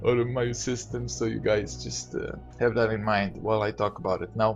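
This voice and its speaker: Music plays behind a man with a non-native accent and a fairly low pitch. He speaks at a moderate pace with very wide pitch swings. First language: not English. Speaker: gaming youtuber. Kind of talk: casual monologue rant. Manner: halting, many fillers.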